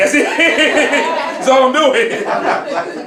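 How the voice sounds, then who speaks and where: Against noticeable background noise, a man talks at an extremely high pitch. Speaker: poetry slam host. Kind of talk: live event hosting, casual talk to audience. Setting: live audience in a room. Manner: upbeat, hype.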